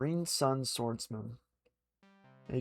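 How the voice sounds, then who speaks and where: A man's speech at a fairly slow pace, music playing behind it. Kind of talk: ASMR book reading; livestream reading from a game guidebook.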